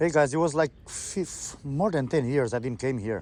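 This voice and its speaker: The background stays quiet. A man speaks with lively intonation, keeping a moderate pace. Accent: Quebec. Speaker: fishing vlogger. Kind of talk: casual vlog chat. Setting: outdoors by the water.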